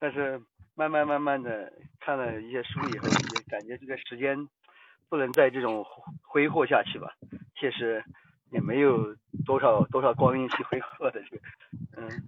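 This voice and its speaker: A man's medium-pitched voice at a moderate pace, fairly even intonation, and long, frequent pauses. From Guizhou, China. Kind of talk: casual chat.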